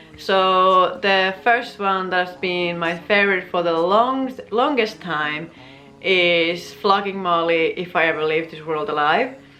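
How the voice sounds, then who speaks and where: A woman's very slow speech in a Finnish accent, with audible room echo and music in the background. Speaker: vlogger. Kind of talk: casual chat.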